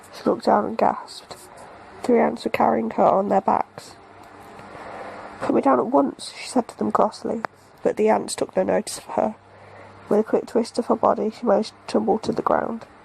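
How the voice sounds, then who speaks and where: A fairly quick pace in a British accent, with long, frequent pauses and noticeable background noise. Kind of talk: bedtime story reading.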